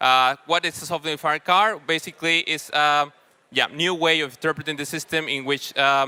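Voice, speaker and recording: A man talks at a fairly quick pace in a bright, sharp tone. The sound is dry and close, with no echo. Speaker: panel moderator. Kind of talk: panel moderation at a conference. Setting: stage with audience. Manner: loud.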